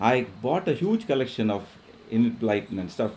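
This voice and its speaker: Someone with a Keralan accent speaks at a moderate pace. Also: man. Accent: Indian English, Malayali. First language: Malayalam. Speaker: professor. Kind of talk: lecture. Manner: halting, many fillers.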